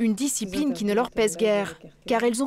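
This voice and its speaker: A woman with an ordinary speaking voice talks at a fairly quick pace. Her pitch is fairly high and her intonation lively. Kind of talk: documentary narration.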